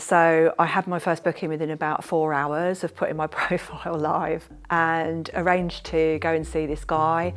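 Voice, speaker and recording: Talking at a moderate pace with hardly any pauses, a woman keeps a fairly low pitch and a monotone, flat intonation. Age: 50s. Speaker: escort. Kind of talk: interview answer.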